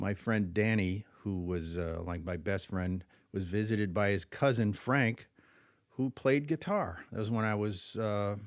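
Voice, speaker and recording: On a very clean recording with a silent background, a man speaks fairly slowly in a fairly low pitch with ordinary pitch variation. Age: 60s. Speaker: jazz guitarist and music teacher. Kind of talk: casual interview. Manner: halting, many fillers.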